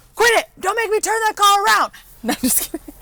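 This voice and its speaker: With music in the background, a woman speaks in a raised, projected voice with very wide pitch swings at a moderate pace, the sound dry and close with no echo. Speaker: car dealership presenter. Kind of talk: product tour. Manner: loud; animated.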